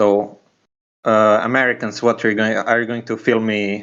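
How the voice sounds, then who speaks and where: A man speaks with a medium pitch. His intonation is monotone and flat. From Slovenia. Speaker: podcast guest. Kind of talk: casual political chat. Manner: halting, many restarts.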